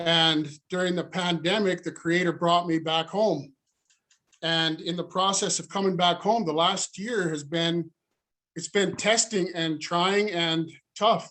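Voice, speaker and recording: In an American accent, a man speaks with a high pitch. His pace is fairly slow, his intonation fairly even. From Northeast Montana. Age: 40s. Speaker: panelist in long-term recovery. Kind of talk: testimony.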